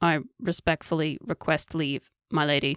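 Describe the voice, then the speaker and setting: The voice is a put-on character voice with a raspy sound. Its pitch sits in the middle range. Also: moderate pace. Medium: read story. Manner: formal, respectful.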